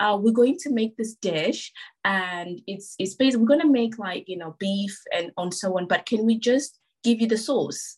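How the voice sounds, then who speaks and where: The woman's voice sits fairly high and is somewhat breathy. She speaks at a moderate pace with lively intonation. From South Africa, moved to UK around age 12. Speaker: food photographer and recipe developer. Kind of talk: casual chat.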